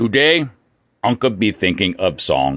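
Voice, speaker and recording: A man puts on a character voice, pitched fairly low and delivered at a fairly slow pace. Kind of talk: comedic weather report. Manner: broken caveman speech.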